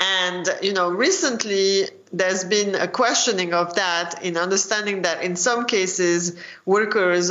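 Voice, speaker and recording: At a moderate pace the speech goes on, with noticeable background noise around it. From France. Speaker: economics professor. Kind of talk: interview.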